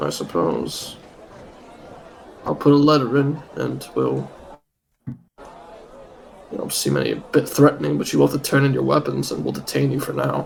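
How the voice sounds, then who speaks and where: A man uses a put-on character voice that sounds raspy. He talks at a moderate pace with long, frequent pauses. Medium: actual play. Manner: guarded, businesslike.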